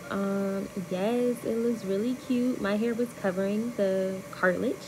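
A woman is speaking. Noticeable background noise runs behind her. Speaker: vlogger. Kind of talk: casual vlog voice-over.

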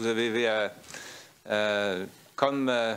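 A very slow man's voice, fairly low in pitch, with fairly even intonation and a clear, smooth, fairly bright tone.

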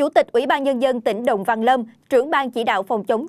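Her words come out at a very fast pace. Behind this woman, the background stays quiet. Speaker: news anchor. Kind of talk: news reading. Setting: studio. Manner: formal.

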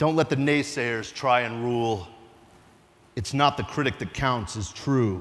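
With a dramatic tone, a man delivers his lines at a fairly slow pace and ordinary pitch variation. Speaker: police lieutenant and poet. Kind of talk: spoken-word poetry performance of an original ode to police officers. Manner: dramatic, rhythmic declamation building to rousing exhortation; earnest, emotionally charged delivery with vivid imagery. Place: stage. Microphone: lapel.

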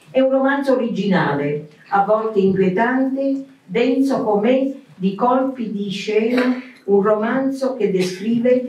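This woman talks very slowly, her pitch fairly high. Room echo can be heard around her voice. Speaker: club president. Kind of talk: formal event speech. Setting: stage with audience. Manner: formal. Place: hall.

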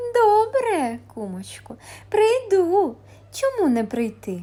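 Putting on a cartoonish character voice, a woman speaks very slowly at an extremely high pitch. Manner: sweet, coaxing.

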